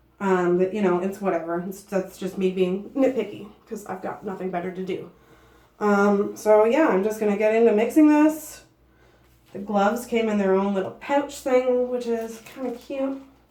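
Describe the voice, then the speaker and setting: With audible room echo, a woman speaks at medium pitch in a dark, mellow tone. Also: ordinary pitch variation, moderate pace. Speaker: beauty vlogger. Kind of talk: casual tutorial vlog. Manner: chatty, filler-heavy.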